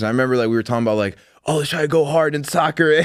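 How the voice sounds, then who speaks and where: Very fast and animated, a man with a Chicago accent speaks with ordinary pitch variation on a very clean recording with a silent background. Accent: Chicago American English. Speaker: podcast host, sports journalist. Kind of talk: casual interview chat.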